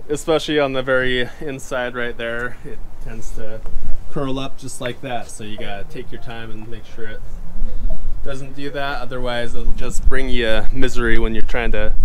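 Under light background noise, a man speaks in a monotone, flat intonation at a moderate pace. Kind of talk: casual vlog chat. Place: waterside. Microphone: phone near.

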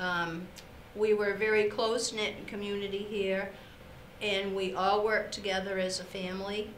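A woman speaks in a monotone, flat intonation. Audible room echo and light background noise surround her voice. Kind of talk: interview answer. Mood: warm, fond. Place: studio.

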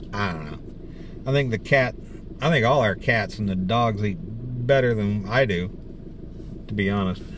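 A man's fairly low voice with ordinary pitch variation at a fairly slow pace, dry with no echo, over noticeable background noise. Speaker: vlogger. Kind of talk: casual vlog chat. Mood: relaxed, joking. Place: car. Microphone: phone near.

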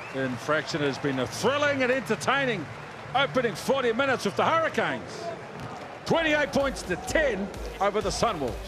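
Over music in the background, a man speaks at a moderate pace in an extremely high pitch with very wide pitch swings. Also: very even loudness. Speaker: rugby commentator. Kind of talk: live rugby match commentary. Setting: match broadcast.

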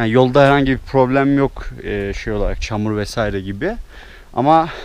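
A man speaks at a fairly slow pace, with ordinary pitch variation. The sound is dry, with no echo. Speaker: travel vlogger. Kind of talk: casual vlog chat. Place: forest. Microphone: phone near.

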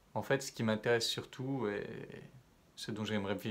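A man talks at a moderate pace. His pitch shows ordinary variation. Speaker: self-development coach. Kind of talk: vlog monologue to camera. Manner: casual, hesitant with fillers. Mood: calm, reflective.

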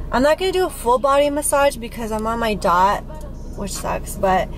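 A woman speaks at a moderate pace with ordinary pitch variation. The sound is dry with no echo, and clear music plays in the background. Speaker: vlogger. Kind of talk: casual vlog chat. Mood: relaxed, chatty, laughing. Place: car. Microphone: phone near.

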